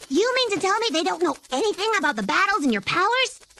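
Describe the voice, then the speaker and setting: A put-on character voice, extremely high in pitch, at a very fast pace. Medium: fan dub. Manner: blunt, scolding.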